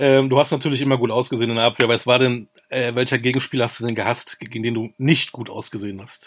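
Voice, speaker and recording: A man speaks at a very fast pace and medium pitch in a monotone, flat intonation. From Münster, Germany. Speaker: podcast host. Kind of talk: interview.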